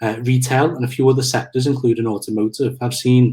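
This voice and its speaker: A somewhat breathy man's voice at a medium pitch and a very fast pace. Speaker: marketing manager, webinar presenter. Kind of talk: webinar presentation. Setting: online webinar. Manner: halting, many fillers.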